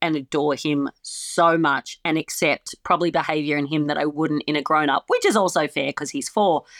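With an Australian accent, a woman speaks at a moderate pace in a very deep, low voice, the sound dry and close with no echo. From Australia, small town. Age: 40s. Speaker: comedian. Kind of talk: casual chat.

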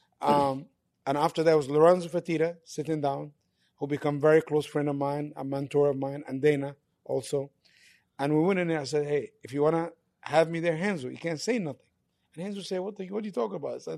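At a very fast pace, a man talks in a dark, mellow tone. His fairly high pitch shows ordinary variation. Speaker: MMA manager. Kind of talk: casual chat. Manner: animated.

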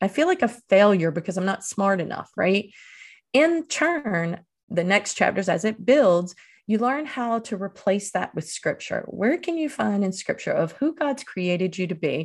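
Very wide pitch swings from a woman at medium pitch and moderate pace, over a quiet background. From Eastern North Carolina, US South. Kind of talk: interview.

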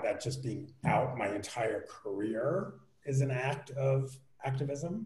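A man with an American accent, medium pitch and a somewhat breathy voice, plus audible room echo. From New York, Queens. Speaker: entertainment journalist. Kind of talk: casual chat.

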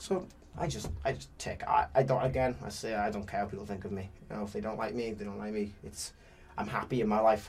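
Somewhat breathy and fairly quick, a man with a British accent speaks using lively intonation. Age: young. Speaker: professional boxer. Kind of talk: interview. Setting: studio.

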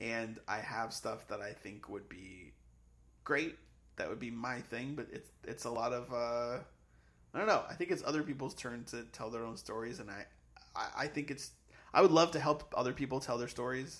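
A man with an American accent and an unremarkable speaking voice, medium pitch, moderate pace and ordinary pitch variation. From Massachusetts, near Boston. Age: 30s. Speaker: comedy writer. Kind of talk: casual chat.

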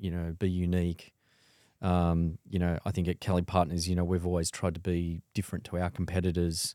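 In a very clean, dry and close recording with a silent background and no echo, a man with an Australian accent talks at a fairly quick pace in a very deep, low pitch, his tone dark and mellow and his intonation monotone and flat. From Sydney, Australia. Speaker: wealth manager. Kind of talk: interview. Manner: hesitant, many fillers.

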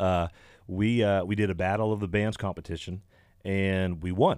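At a moderate pace, a man speaks in a plain, everyday voice. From Canada. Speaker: country musician. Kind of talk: casual radio interview. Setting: radio studio.

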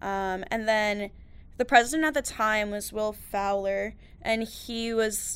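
A woman with an American accent has an unremarkable speaking voice, fairly high in pitch with fairly even intonation, captured in a very clean recording with a silent background. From New York. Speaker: university student. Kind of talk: casual interview.

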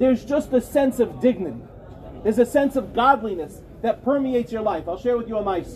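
A man with an American accent speaks at a fairly quick pace, his pitch extremely high yet ordinary in its variation. Crowd noise fills the background. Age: 40s. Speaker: rabbi. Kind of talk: lecture.

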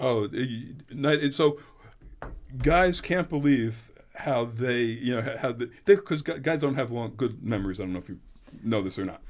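An unremarkable speaking voice at a moderate pace. The intonation is lively. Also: man, medium pitch for a man. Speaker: doctor. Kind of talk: radio interview about health. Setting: radio studio.

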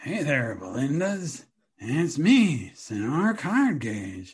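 A man's put-on character voice, fairly high in pitch, very slow, with very wide pitch swings

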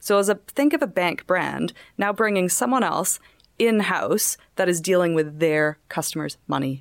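A normal speaking voice with a Canadian accent, lively intonation and a moderate pace. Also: woman, medium pitch for a woman. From Canada. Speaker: fintech startup co-founder. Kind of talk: casual interview.

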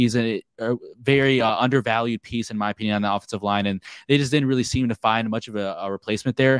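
Talking at a very fast pace, a man is heard on a very clean recording with a silent background and a dry, close sound with no echo. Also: medium pitch for a man, fairly even intonation. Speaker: sports podcast host. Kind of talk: casual sports discussion podcast.

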